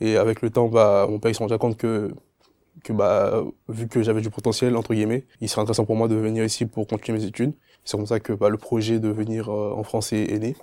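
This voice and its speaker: A man talks at a fairly quick pace in a dark, mellow tone with monotone, flat intonation. The recording is very clean with a silent background. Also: medium pitch for a man. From Ivory Coast. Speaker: engineering student. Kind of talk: testimony. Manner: halting, many fillers and repetitions.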